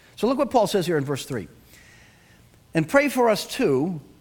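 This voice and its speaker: A man with a Boston accent speaks with very wide swings in pitch. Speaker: pastor. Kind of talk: sermon. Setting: church.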